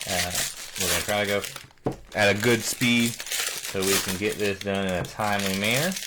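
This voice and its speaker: Noticeable background noise and audible room echo surround the speech. It moves at a moderate pace with fairly even intonation. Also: man, fairly low pitch for a man. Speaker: card breaker, live stream host. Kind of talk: live card break commentary.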